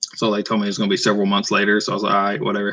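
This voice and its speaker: This voice has a bright, sharp tone, an Appalachian accent and ordinary pitch variation. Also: man. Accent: Appalachian-sounding Southern. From northeast Arkansas. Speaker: author. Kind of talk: casual livestream chat. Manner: casual, hesitant with fillers.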